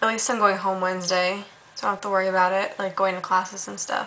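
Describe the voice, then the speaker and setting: Talking at a very fast pace, a woman keeps a monotone, flat intonation. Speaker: student vlogger. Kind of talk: casual vlog chat. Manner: weary, slumped, drowsy speech. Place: home room. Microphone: webcam.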